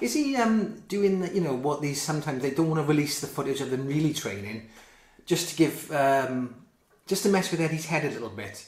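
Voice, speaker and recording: A somewhat breathy male voice at a fairly quick pace, with audible room echo. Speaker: boxing commentator. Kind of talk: commentary.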